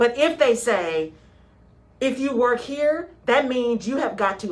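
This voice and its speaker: In an American accent, a woman talks in an animated tone with lively intonation. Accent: Texan drawl, stronger when tired. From West Texas. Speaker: radio show host, HR consultant. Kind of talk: radio talk show discussion. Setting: radio studio. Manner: animated, conversational.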